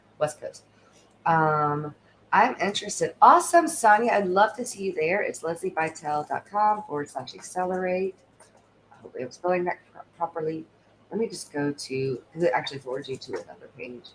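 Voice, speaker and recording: A woman's medium-pitched voice with lively intonation and big swings in loudness. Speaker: stand-in livestream host, tech assistant. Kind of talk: live stream Q&A and pitch. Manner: fast when excited; animated.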